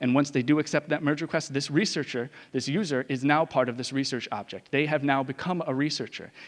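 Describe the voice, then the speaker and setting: A man speaks very fast in a fairly high voice with fairly even intonation. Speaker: conference speaker. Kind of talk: conference talk.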